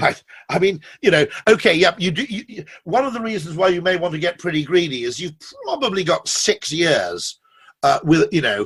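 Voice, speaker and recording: A man with a British accent, a high pitch and lively intonation, at a moderate pace. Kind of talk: interview answer. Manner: witty, charming.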